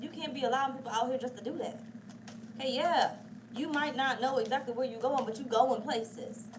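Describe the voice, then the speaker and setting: Animated in tone, a woman talks at a fairly quick pace and a high pitch with ordinary pitch variation, in a room with audible echo. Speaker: tarot reader. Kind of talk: tarot reading. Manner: fast.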